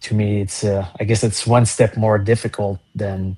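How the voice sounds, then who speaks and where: A man speaks at a fairly slow pace in a fairly low, monotone voice with flat intonation. His tone is dark, mellow and somewhat breathy, over a quiet background. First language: not English. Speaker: musician. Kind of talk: casual interview chat. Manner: halting.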